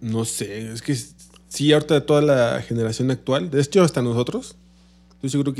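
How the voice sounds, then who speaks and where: With a Mexican accent, a man talks in a dark, mellow tone and fairly even intonation. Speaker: podcast co-host. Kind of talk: casual chat.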